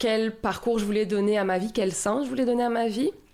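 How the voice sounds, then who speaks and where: A woman's fairly high voice with ordinary pitch variation, on a very clean recording with a silent background. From southern France, Marseille region. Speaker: municipal community life coordinator. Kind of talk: podcast interview. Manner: hesitant, many fillers.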